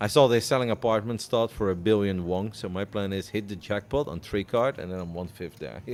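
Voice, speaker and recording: A man with a Dutch accent, at a fairly quick pace. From Netherlands. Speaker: poker commentator. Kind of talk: live commentary; casual chat.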